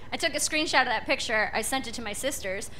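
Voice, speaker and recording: Light noise sits behind a woman as she talks. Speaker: stand-up comedian. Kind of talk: stand-up comedy routine. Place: stage. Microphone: handheld.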